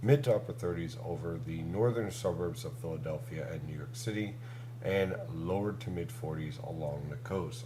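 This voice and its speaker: A man talks at a medium pitch. Audible room echo and noticeable background noise surround his voice. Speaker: meteorologist. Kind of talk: weather forecast discussion.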